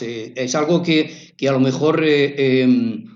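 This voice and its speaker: A man speaks at a fairly high pitch. The room echo is audible. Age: 60s. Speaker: local resident, community activist. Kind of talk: radio interview. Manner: halting, many fillers and repetitions.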